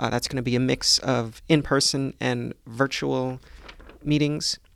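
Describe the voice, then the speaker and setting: A man with a normal speaking voice, medium pitch and ordinary pitch variation is heard dry and close with no echo on a very clean recording with a silent background. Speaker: librarian podcast host. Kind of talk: podcast interview and scripted narration.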